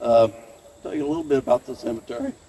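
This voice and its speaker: Lively intonation from a man with an American accent, a fairly high pitch and a dark, mellow tone. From northern Missouri, US Midwest. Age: 80s+. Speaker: farmer and event host. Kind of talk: welcome speech. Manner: casual, folksy with hesitations.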